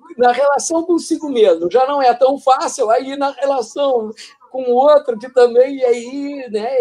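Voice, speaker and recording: A man's extremely high voice at a fairly slow pace, with ordinary pitch variation. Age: 70s. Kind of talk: casual interview. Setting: live broadcast. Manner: halting.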